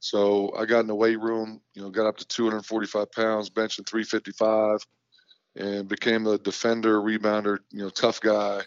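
Speaking with an American accent, a man keeps his intonation monotone and flat, his pitch fairly low. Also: moderate pace. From US Midwest, northeast Ohio. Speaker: college basketball head coach. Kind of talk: casual interview.

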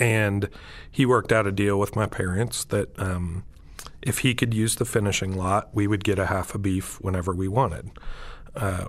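With an American accent, a man speaks in a normal speaking voice at a fairly quick pace, his intonation fairly even. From Montana and Texas, US. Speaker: chef and restaurant owner. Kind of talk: podcast interview. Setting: studio, remote.

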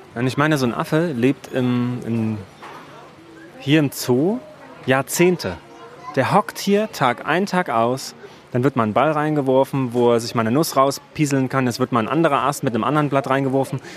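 A man with a medium pitch leaves long, frequent pauses while noticeable background noise carries on behind him. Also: ordinary pitch variation, moderate pace. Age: 40s. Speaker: podcast host and research diver. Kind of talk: casual conversational interview on location. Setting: outdoors at a zoo.

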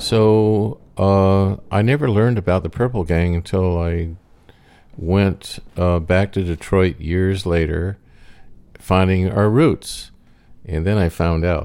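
A man speaks very slowly in a very deep, low voice with a dark, mellow tone and ordinary pitch variation, on a very clean recording with a silent background. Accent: American. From New England, US. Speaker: storyteller, co-host's father. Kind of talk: personal storytelling.

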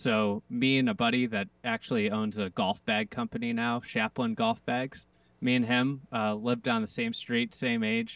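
A man with an American accent has an ordinary speaking voice at a medium pitch. He keeps a moderate pace, fairly even intonation, and very even loudness. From US Midwest, Chicago area. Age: 30s. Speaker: golf media founder. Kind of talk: interview.

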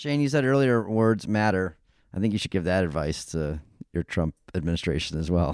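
Recorded very cleanly against a silent background, a man with a very deep, low voice speaks at a fairly quick pace. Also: lively intonation. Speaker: podcast co-host, former energy official. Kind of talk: casual policy discussion.

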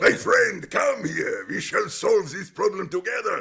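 A man shouts in a booming, put-on character voice. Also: moderate pace.

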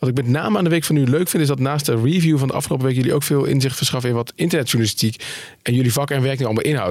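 This man talks at a very fast pace in a medium-pitched voice. His pitch varies in an ordinary way. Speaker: podcast host and editor-in-chief. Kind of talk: casual news discussion. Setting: studio.

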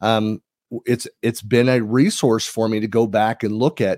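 The speaker talks at a moderate pace with a Californian accent. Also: man. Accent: Californian American. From US, San Francisco Bay Area (East Bay). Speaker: tech community leader and podcaster. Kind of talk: casual interview. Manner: hesitant, many fillers.

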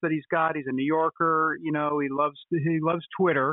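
A man's plain, everyday voice, fairly high-pitched, at a fairly quick pace. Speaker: interviewer. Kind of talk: interview.

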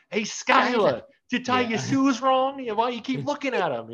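A put-on, gruff character voice in a Brooklyn accent, shouting at a fairly high pitch and a moderate pace. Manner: yelling, gruff.

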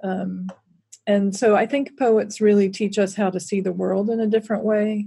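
A woman with an American accent speaks at a moderate pace in a medium pitch, her dark, mellow tone somewhat breathy and her intonation monotone and flat. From US South. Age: middle-aged. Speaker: author and social justice educator. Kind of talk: interview conversation.

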